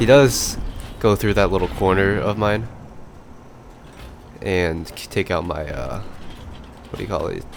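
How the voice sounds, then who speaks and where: Speaking fairly slowly with long, frequent pauses and big swings in loudness, a man with a fairly low pitch and ordinary pitch variation is heard over noticeable background noise. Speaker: gaming video commentator. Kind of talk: gameplay commentary. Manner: mumbling, slurred at times; casual, filler-heavy.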